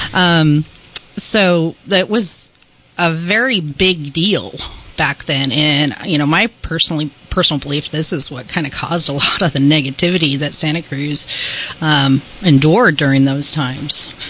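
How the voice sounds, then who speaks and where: A woman's very deep, low pitch with ordinary pitch variation at a moderate pace, over noticeable background noise. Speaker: ghost tour guide. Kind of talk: radio interview answer.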